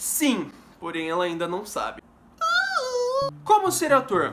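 A man's voice is heard amid noticeable background noise. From Brazil, São Paulo state (Mauá); São Paulo state, Brazil. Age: 20s. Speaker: youtuber and actor; youtuber, actor. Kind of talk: casual Q&A vlog. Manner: fast; animated. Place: home room. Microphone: phone near.

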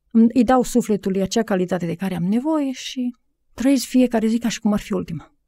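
Fairly high in pitch yet dark and mellow in tone, a woman talks at a fairly quick pace with ordinary pitch variation, recorded very cleanly against a silent background in a dry, close sound with no echo. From Romania, Maramureș. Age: 40s. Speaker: life coach. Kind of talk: interview. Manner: halting.

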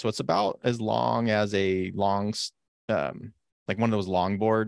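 The pitch varies in an ordinary way. The background is quiet, and the sound is dry with no echo. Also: man. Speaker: podcast co-host. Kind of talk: casual podcast chat. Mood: enthusiastic, relaxed. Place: home room. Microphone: studio mic.

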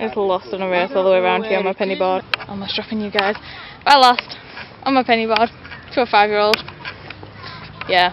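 A woman at a very fast pace with long, frequent pauses and ordinary pitch variation, her voice dry with no echo, over noticeable background noise. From England. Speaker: vlogger. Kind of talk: casual vlog talk to camera. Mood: cheerful, playful. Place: garden. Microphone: phone near.

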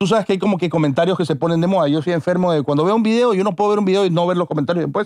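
Recorded dry with no echo against a quiet background, a man talks very fast at a high pitch with very even loudness, ordinary pitch variation and hardly any pauses. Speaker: podcast host. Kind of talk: casual chat. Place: studio. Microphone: studio mic.

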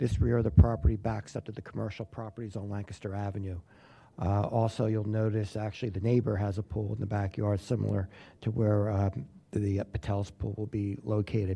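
A man talks at a fairly quick pace in a fairly low, somewhat breathy voice. His tone is dark and mellow, and his intonation stays fairly even. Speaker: lawyer representing an applicant. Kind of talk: zoning hearing testimony. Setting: public board hearing. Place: meeting room. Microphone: podium.

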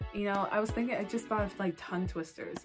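A woman speaks with ordinary pitch variation. Music plays in the background. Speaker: vlogger sharing speech tips. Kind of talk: casual talk to camera. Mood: friendly, encouraging.

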